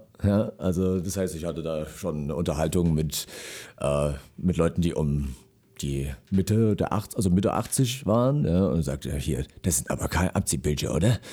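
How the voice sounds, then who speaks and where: On a very clean recording with a silent background, a man with a very deep, low pitch and a dark, mellow tone speaks at a moderate pace with lively intonation and vocal fry. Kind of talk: casual radio interview. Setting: radio studio. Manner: hesitant, filler words.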